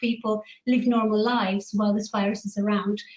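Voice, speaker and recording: A woman with a Greek accent at a fairly quick pace with fairly even intonation. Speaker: immunologist. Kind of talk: panel talk.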